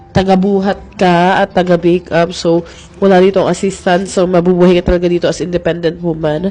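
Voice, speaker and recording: A woman talks at a medium pitch with fairly even intonation. Music plays in the background. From Philippines. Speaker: makeup artist vlogger. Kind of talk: casual vlog.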